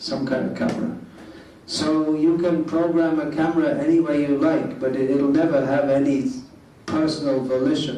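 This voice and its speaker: With audible room echo and noticeable background noise, a man speaks at a moderate pace at a fairly high pitch, with ordinary pitch variation and very even loudness. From England. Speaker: monk lecturer. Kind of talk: lecture.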